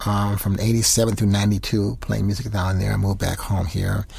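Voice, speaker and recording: A man with an American accent speaks at a fairly low pitch, somewhat breathy, with fairly even intonation. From Rochester, New York, US. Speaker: jazz saxophonist. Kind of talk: interview. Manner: fast.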